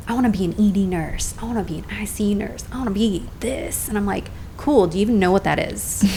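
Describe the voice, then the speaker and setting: A woman talks at a very fast pace with medium pitch and ordinary pitch variation. Music plays in the background, and the room echo is audible. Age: 40s. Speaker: nurse and entrepreneur. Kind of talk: casual podcast interview. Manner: animated.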